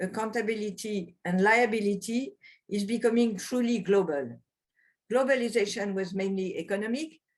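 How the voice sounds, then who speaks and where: Somewhat breathy, a woman with a medium pitch talks with a French accent. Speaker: lawyer, former constitutional judge. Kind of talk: webinar presentation. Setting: video webinar. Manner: hesitant, not fully fluent.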